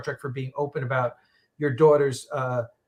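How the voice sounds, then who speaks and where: Somewhat breathy, this voice moves at a moderate pace with a New York accent. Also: man. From New York, Long Island. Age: 60s. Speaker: podcast host. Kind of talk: casual chat. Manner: halting.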